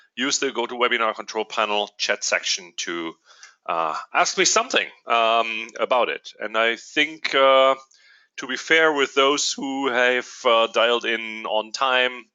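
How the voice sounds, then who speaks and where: Speaking with a German accent, a man uses a medium pitch and ordinary pitch variation at a fairly slow pace. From Germany. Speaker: company executive. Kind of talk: webinar presentation. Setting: online webinar. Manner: hesitant, many fillers.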